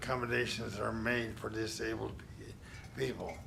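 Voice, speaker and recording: The room echo is audible as a man speaks. He has an American accent and keeps a moderate pace. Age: 60s. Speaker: public commenter. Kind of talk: public comment statement. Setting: public meeting. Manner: formal.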